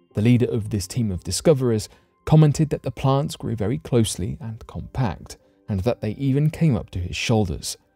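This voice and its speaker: Music plays behind a man speaking at a fairly quick pace with lively intonation. The sound is dry, with no echo. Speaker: documentary narrator. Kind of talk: scripted narration.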